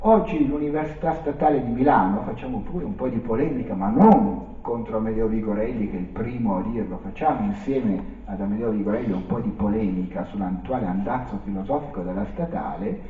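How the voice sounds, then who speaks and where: A man talks at a fairly quick pace with hardly any pauses. The room echo is audible. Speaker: presenter. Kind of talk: lecture.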